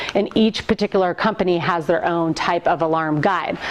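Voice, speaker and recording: Background noise is noticeable. The speaker is a woman. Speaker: VAD coordinator nurse giving training. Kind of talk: lecture. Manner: fast.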